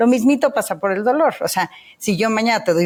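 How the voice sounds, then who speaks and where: A woman with ordinary pitch variation. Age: 50s. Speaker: therapist and movement method founder. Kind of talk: podcast interview. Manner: animated.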